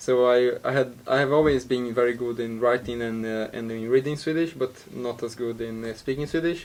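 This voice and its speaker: With a Brazilian Portuguese accent, the speaker talks at a moderate pace in a monotone, flat intonation. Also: man. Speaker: university student. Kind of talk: casual interview. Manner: halting, many fillers and repeats.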